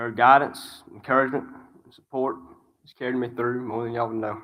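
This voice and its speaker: In a strong Alabama accent, a man speaks with monotone, flat intonation. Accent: strong Alabama Southern. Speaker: graduating student. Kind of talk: graduation speech.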